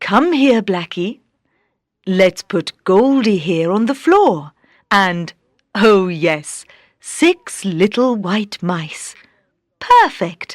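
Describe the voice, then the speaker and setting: Using a put-on character voice at a medium pitch, a woman speaks at a very slow pace with long, frequent pauses. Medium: read story.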